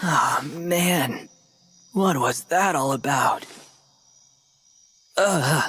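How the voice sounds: A man uses a put-on character voice at a very slow pace, fairly high in pitch with ordinary pitch variation and a bright, sharp tone.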